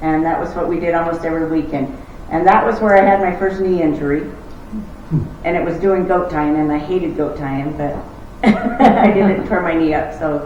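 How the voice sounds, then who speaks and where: Amid noticeable background noise and audible room echo, a woman with a fairly low pitch speaks at a fairly quick pace with ordinary pitch variation. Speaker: rodeo competitor. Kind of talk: interview at public history talk. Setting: library event with audience.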